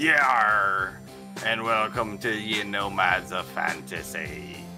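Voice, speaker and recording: A man speaks in a put-on character voice at a very slow pace, his pitch fairly low. Clear music plays in the background. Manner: playful, theatrical.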